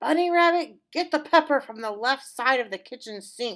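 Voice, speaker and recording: A put-on character voice, female-sounding, high-pitched for a woman, gruff and growling, raised and projected. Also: very clean recording, silent background. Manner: growling, gruff.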